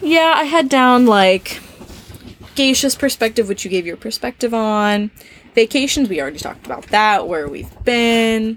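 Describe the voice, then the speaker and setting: A woman's animated, fairly high voice in an American accent, with lively intonation and a moderate pace. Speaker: exchange student and podcast co-host. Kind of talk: casual chat. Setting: camping trailer.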